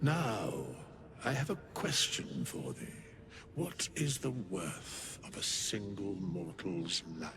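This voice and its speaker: Against clear background noise, a man puts on a character voice with a fairly low pitch at a very slow pace. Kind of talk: archaic, solemn speech. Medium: game stream. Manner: slow, grave, measured.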